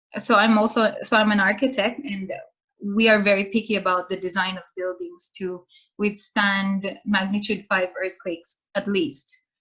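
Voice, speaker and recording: A woman's bright, sharp tone at a moderate pace, with fairly even intonation. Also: medium pitch for a woman. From Philippines. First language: Filipino (Tagalog). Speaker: architect and scholar presenting home country. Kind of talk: Q&A after presentation. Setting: video call. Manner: casual, hesitant with fillers.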